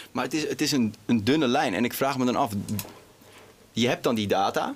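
A man with a normal speaking voice, medium pitch and ordinary pitch variation, at a moderate pace. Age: 20s. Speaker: interview host. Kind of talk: interview.

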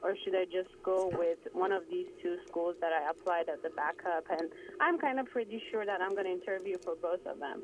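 Moderate pacing from a woman amid noticeable background noise. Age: 30s. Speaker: caller, psychology graduate. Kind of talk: phone-in question. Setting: phone call. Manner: halting, many fillers.

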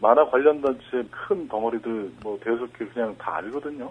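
A man's unremarkable speaking voice, fairly slow, with ordinary pitch variation. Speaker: cartoonist. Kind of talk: interview.

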